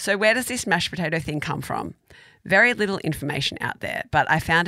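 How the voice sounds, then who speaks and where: This woman has an Australian accent. Her tone is bright and sharp. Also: very clean recording, silent background. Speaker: food podcast co-host. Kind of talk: casual chat.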